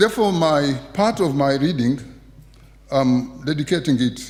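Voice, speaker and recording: A man's somewhat breathy voice, pitched fairly high, swings very widely in pitch and has a dark, mellow tone. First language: Kiswahili. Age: 70s. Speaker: poet. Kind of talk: festival speech before poetry reading.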